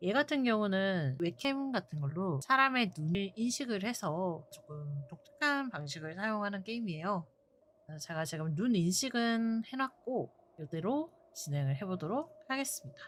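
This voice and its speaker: A woman speaks in a calm tone at a medium pitch. Her pace is fairly slow, and her pitch swings very widely. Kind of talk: game stream commentary.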